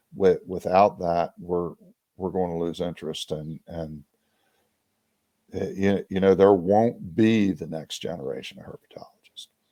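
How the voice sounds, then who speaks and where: A man with an American accent, very deep and low in pitch, with a dark, mellow tone, fairly even intonation, a fairly slow pace and big swings in loudness. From US East, Maryland. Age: 60s. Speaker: reptile breeder. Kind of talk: podcast interview. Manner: halting, many false starts.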